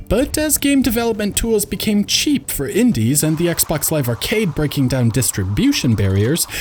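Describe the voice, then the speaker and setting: Noticeable background noise sits behind a man with a high pitch and very wide pitch swings. He talks at a moderate pace with hardly any pauses. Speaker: video game reviewer. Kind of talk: video essay narration.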